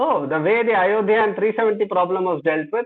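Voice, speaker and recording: The speaker is a man with ordinary pitch variation. He talks at a moderate pace. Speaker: design thinking trainer. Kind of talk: online workshop lecture.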